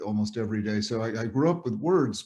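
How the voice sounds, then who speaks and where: Dark and mellow in tone, a man with an American accent speaks at a medium pitch. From New England, Cape Cod, Massachusetts. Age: 70s. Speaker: psychiatrist and author. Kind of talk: interview storytelling.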